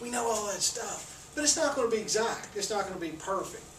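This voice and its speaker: Speech moves at a fairly quick pace. Noticeable background noise sits under it. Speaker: accounting professor. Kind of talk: lecture. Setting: classroom, recorded on camera. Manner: mumbles; speaking loudly for the camera.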